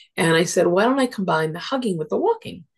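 Somewhat breathy speech with ordinary pitch variation plays over a quiet background. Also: woman. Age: 60s. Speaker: social worker and interfaith minister. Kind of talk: casual interview. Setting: video call. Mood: warm, reflective. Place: home room. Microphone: video call.

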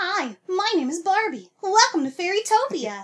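Putting on a squeaky character voice, a woman talks at a moderate pace in an extremely high pitch. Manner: bubbly, sweet.

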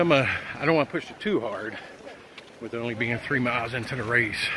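Noticeable background noise sits under this recording. A man talks at a very fast pace with fairly even intonation. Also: dry sound with no echo. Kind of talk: casual vlog chat. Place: street. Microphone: phone near.

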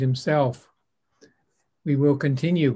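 Somewhat breathy, a man's fairly high voice carries the speech. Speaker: author and host of the online reading event. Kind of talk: casual welcoming host introduction and sign-off. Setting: video call with live online audience. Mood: warm, festive. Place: home room. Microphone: video call.

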